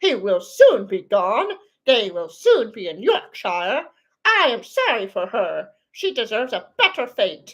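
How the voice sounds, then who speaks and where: Using a put-on character voice, a woman talks at a fairly slow pace and a fairly high pitch. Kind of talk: classic novel read aloud. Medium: read story. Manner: measured, earnest.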